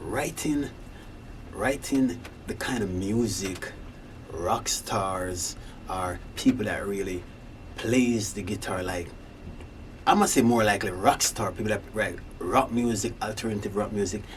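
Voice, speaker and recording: With a slight Jamaican accent, a man speaks at a fairly slow pace and a fairly low pitch with ordinary pitch variation, leaving long, frequent pauses amid audible room echo. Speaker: singer-songwriter, rock musician. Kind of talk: casual monologue. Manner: halting.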